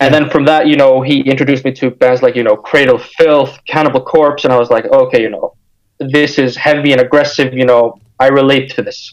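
Speaking fairly quickly, a man with an American accent keeps his intonation flat and monotone. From Iceland, also Denmark and the United States. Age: 20s. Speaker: hardcore punk musician. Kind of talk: casual interview chat.

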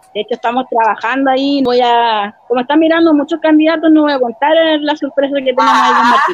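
A woman's high voice at a fairly quick pace, ordinary pitch variation, and noticeable background noise. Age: 30s. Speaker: local council candidate and radio presenter. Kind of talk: interview.

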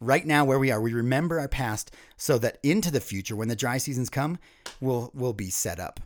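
In an American accent, a man with an unremarkable speaking voice talks fairly quickly at a medium pitch with ordinary pitch variation. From US East Coast. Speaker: ministry leader. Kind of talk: podcast interview.

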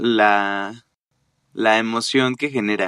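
This is a man speaking. His pitch is fairly low. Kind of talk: casual literary discussion.

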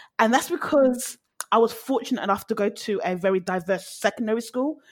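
The speaker is a woman with a British accent. She keeps a moderate pace. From London, South London. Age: 30s. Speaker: interview guest. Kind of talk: casual chat. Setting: online call.

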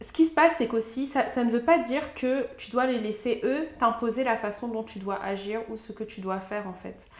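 With noticeable background noise around her, a woman speaks at a moderate pace, her fairly high pitch moving with ordinary variation. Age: 20s. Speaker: podcast co-host. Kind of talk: casual chat.

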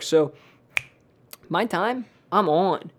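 The speaker is a man. His intonation moves up and down a normal amount. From Philadelphia, US. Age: 20s. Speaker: real estate agent, former teacher. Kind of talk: casual chat. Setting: home kitchen used as studio.

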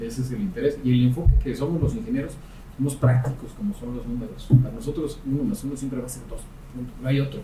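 A man talks at a very fast pace with very wide pitch swings. Noticeable background noise and audible room echo fill the recording. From Mexico, Querétaro. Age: 40s. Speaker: civil engineer, construction chamber president. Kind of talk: interview.

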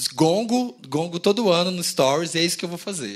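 A man's plain, everyday voice, fairly high in pitch, at a moderate pace with lively intonation. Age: 30s. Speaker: podcast co-host. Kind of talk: live podcast recording. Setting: stage with audience.

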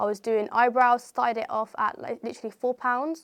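A woman with a West Midlands accent speaks at a fairly high pitch, her intonation fairly even, in a dry, close recording with no echo. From England, Coventry. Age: 20s. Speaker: property entrepreneur. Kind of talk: interview. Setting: studio.

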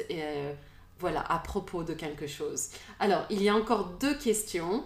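A woman's voice with audible room echo. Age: 40s. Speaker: podcast host. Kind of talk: casual chat. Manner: halting.

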